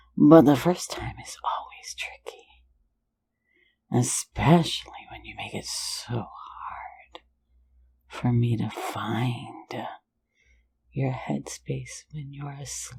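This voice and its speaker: A woman puts on a playful, raspy character voice, speaking at a very slow pace with long, frequent pauses. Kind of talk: ASMR audio roleplay. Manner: teasing, playful.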